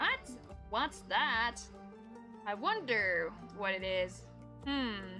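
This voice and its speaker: The speaker talks very slowly, with long, frequent pauses. Music plays in the background. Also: woman. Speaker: streamer. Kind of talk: casual live-stream gameplay talk.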